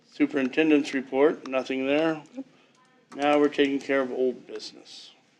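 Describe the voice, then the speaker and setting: The speech moves at a moderate pace. Its intonation is monotone and flat. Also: man, fairly high pitch for a man. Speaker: school board meeting chair. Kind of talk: public meeting chairing.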